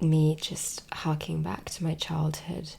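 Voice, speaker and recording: The speaker's tone is relaxed. The voice is soft-spoken. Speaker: ASMR content creator. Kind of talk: soft-spoken ASMR talk to camera. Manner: soft-spoken, slow, relaxed.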